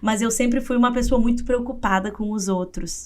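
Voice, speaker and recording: The speaker has a strong southern Brazilian accent. Pitch moves up and down by an ordinary amount. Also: woman. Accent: gaúcho Brazilian Portuguese, strong. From southern Brazil, interior of Rio Grande do Sul. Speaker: psychologist and writer. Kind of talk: interview testimony.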